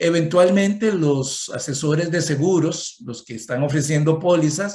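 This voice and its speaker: A somewhat breathy man speaks at a fairly slow pace with a fairly high pitch. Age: 60s. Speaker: economist and conference speaker. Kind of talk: conference talk.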